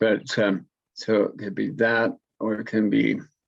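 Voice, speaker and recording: A man's fairly low voice with vocal fry, monotone, flat intonation and a very slow pace. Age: 70s. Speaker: war veteran and senior athlete. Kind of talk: interview. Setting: video call. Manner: halting, many fillers and restarts.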